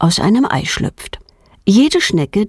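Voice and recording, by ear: The intonation rises and falls in a lively way. Someone reads aloud here in a natural voice.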